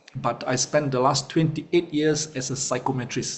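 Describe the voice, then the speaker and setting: The speaker moves at a moderate pace with fairly even intonation, against noticeable background noise. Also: man. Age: 50s. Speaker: network marketing leader and executive coach. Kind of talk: guest talk in online meeting. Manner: hesitant, many fillers.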